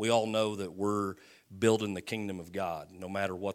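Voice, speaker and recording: A man talks with a very deep, low pitch. The recording is very clean, its background silent. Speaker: pastor. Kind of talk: sermon introduction. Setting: church.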